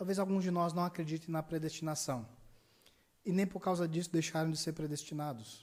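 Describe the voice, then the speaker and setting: Here a man speaks in a high pitch with ordinary pitch variation. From Brazil, Ceará (Juazeiro do Norte). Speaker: pastor. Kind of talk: sermon. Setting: church service, livestreamed.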